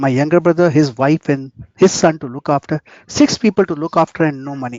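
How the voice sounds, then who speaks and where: A man with an ordinary speaking voice talks at a fairly quick pace and a fairly high pitch, with ordinary pitch variation. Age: 60s. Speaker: trading mentor. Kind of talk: webinar talk. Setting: online webinar.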